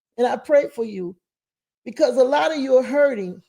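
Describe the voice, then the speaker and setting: At a moderate pace, a woman speaks in a high pitch. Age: 60s. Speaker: mother of the channel's host. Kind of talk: heartfelt personal message. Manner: emphatic, repetitive.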